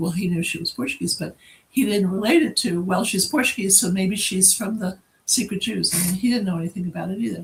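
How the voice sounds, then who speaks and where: Speaking with ordinary pitch variation, a woman has a somewhat breathy voice at a medium pitch. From New England. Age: 70s. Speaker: founder of a heritage organization. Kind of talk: interview.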